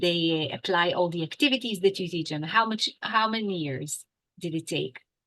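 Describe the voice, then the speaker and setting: A woman speaks in an animated, bright and sharp tone at a moderate pace with ordinary pitch variation. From Israel. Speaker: English teacher. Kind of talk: interview.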